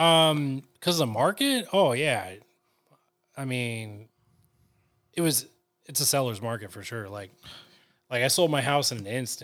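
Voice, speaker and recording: This man talks at a fairly slow pace with lively intonation and medium pitch, with big swings in loudness and long, frequent pauses. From Northern California. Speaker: photographer and videographer. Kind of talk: casual chat.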